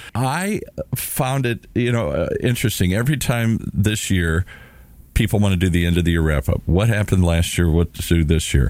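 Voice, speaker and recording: A man with an American accent and an unremarkable speaking voice, fairly low in pitch, with lively intonation, moderate pace, and very even loudness. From US Midwest, Minnesota. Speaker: radio show co-host. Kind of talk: casual chat.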